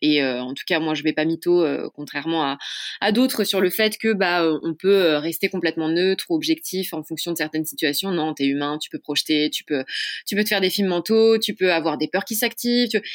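An ordinary speaking voice with lively intonation comes at a moderate pace, with a dry, close sound and no echo. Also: woman, fairly low pitch for a woman. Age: 20s. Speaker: couple therapist. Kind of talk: casual chat.

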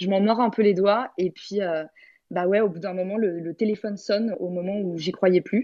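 A woman of medium pitch talks at a moderate pace with fairly even intonation. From Paris, France. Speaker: entrepreneur and teacher. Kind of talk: interview. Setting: audio chat room.

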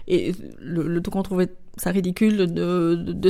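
A woman at a medium pitch is heard on a very clean recording with a silent background. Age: 50s. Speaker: shop co-founder. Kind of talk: interview. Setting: recorded in a shop. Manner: hesitant, with fillers.

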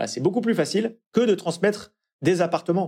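A man talks fairly quickly with ordinary pitch variation, on a very clean recording with a silent background. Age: 40s. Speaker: financial advisor. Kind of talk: interview. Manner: hesitant.

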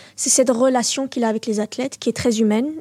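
A woman speaks at a very fast pace in a high voice with ordinary pitch variation. The sound is dry and close, with no echo. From Belgium, Brussels (Molenbeek). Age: 20s. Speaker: ju-jitsu champion. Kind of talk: interview.

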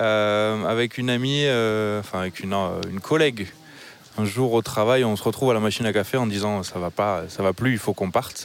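With a southwestern French accent, a man of fairly low pitch speaks at a moderate pace and fairly even intonation. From southwestern France. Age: 30s. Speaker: renewable energy engineer. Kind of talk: casual chat.

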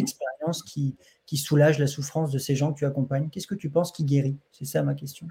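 A man's somewhat breathy voice, dark and mellow in tone, with a fairly high pitch. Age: young. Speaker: doctor and interviewer. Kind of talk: interview. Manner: halting.

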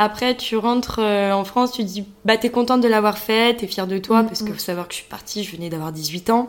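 An ordinary speaking voice from a woman, fairly high-pitched, at a fairly quick pace with hardly any pauses. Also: ordinary pitch variation. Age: 20s. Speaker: business school student. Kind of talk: interview.

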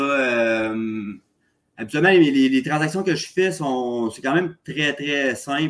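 A man at a very slow pace. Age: 30s. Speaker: real estate investor, contractor. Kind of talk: casual interview. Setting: remote call from condo. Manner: halting, many fillers.

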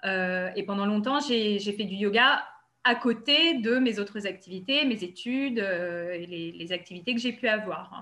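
Her tone is bright and sharp, her pitch medium with ordinary variation. This woman speaks very slowly. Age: 30s. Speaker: yoga therapist. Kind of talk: interview.

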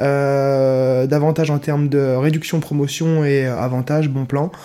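The speaker is a man with a dark, mellow tone. His intonation is monotone and flat. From Nancy, northeastern France. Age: 20s. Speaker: semi-professional handball player. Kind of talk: interview. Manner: halting.

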